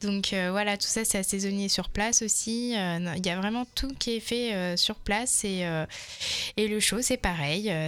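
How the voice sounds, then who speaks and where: A woman at a fairly slow pace, with ordinary pitch variation and noticeable background noise. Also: medium pitch for a woman. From Touraine, France. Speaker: head chef of a community restaurant. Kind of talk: radio interview.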